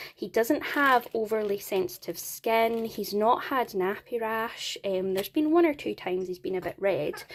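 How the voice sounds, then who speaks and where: With a Scottish accent, a woman talks at a moderate pace in a fairly high pitch. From Scotland. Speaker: parenting vlogger. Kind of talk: product review vlog. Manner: casual, chatty.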